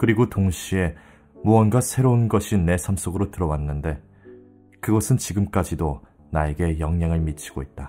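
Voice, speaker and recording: With music in the background, a man with a very deep, low pitch talks at a moderate pace and with lively intonation. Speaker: audiobook narrator. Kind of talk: audiobook reading for sleep.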